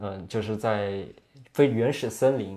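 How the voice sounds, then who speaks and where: Against a quiet background, a man with a dark, mellow tone speaks at a medium pitch and moderate pace. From Yunnan, China. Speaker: young film director and tea seller. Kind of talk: casual interview conversation.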